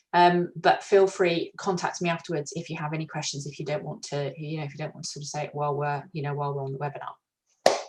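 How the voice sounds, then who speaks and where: This woman talks very fast, with hardly any pauses, in a very deep, low voice that is somewhat breathy. Her loudness swings widely while her intonation stays fairly even, over a quiet background. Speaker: HR consultant running a webinar. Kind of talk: webinar presentation. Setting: video webinar. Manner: hesitant with many fillers.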